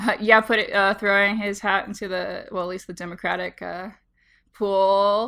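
A woman talks at a medium pitch in an animated tone. Her voice has a bright, sharp quality. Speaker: podcast host and linguist. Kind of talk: casual chat. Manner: animated, laughs often.

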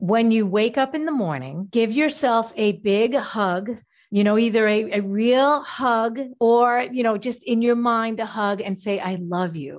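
A woman talks at a fairly slow pace with a fairly high pitch and ordinary pitch variation. She has a plain, everyday voice, and the background is quiet. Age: 50s. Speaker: natural food chef and health coach. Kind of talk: interview.

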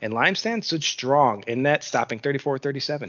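This is a man speaking. His voice is medium in pitch. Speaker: hockey podcast host, amateur goalie. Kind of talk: scripted news reading; casual chat.

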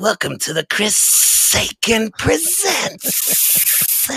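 The put-on character voice is full of hissing. It moves at a very slow pace. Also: man, high pitch for a man. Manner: villainous.

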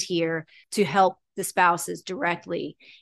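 A woman's plain, everyday voice, fairly low in pitch with fairly even intonation, in a dry, close sound with no echo against a quiet background. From New York (Catskill, Long Island). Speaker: hyperbaric clinic operator, executive. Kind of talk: interview conversation.

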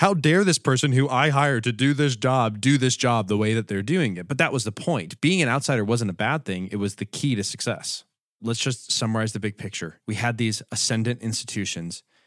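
With hardly any pauses, a normal speaking voice moves at a fairly quick pace with lively intonation, recorded very cleanly against a silent background in a dry, close sound with no echo. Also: man, medium pitch for a man. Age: 30s. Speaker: podcast co-host. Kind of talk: casual chat.

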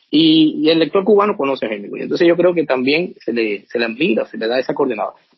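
A man talks at a very fast pace with hardly any pauses. His fairly high voice makes very wide pitch swings. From Cuba. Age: 50s. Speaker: author. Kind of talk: interview. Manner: hesitant, many fillers.

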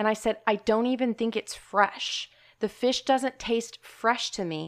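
A normal speaking voice with ordinary pitch variation moves at a moderate pace on a very clean recording with a silent background. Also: woman. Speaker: podcast co-host.

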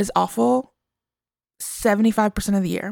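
The recording is very clean, with a silent background and a dry, close sound with no echo. The voice belongs to a woman with an American accent. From US suburbs. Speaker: podcast co-host. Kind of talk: casual chat.

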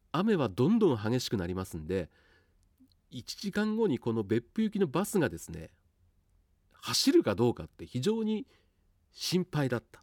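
The pitch swings very widely and the loudness rises and falls a lot, at a moderate pace broken by long, frequent pauses. The sound is dry and close, with no echo. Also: man, medium pitch for a man. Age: 50s. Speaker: radio announcer. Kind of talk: casual monologue.

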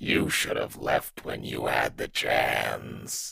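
A man puts on a raspy character voice. He speaks very slowly. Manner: menacing.

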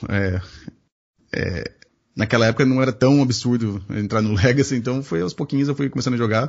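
A man with a medium pitch and a somewhat breathy voice talks at a fairly quick pace, using ordinary pitch variation and long, frequent pauses. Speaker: podcast host. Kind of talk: casual chat.

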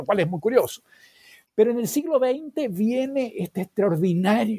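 At a moderate pace, a man with a dark, mellow tone makes very wide pitch swings in a dry, close recording with no echo. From Chile. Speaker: historian and professor. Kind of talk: interview. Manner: halting, many fillers.

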